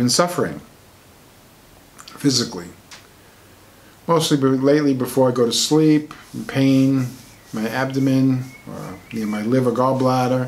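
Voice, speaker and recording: Amid noticeable background noise, a man speaks at a fairly slow pace and a medium pitch, with fairly even intonation, big swings in loudness and long, frequent pauses. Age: 60s. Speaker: alternative medicine author. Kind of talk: personal talk to camera.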